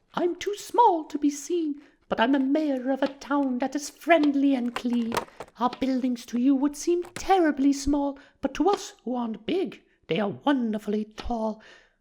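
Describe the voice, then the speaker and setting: Putting on a character voice, a woman speaks high-pitched with lively intonation at a moderate pace. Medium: read story.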